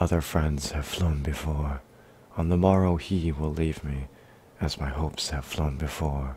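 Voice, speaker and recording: A soft-spoken man whispering, somewhat breathy, at a fairly slow pace. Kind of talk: poetry reading. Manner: soft-spoken, whispered.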